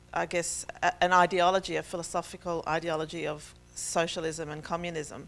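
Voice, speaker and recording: This woman speaks with an Australian accent. Her pitch sits fairly low. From Israel and Australia. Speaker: faith speaker. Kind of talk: testimony.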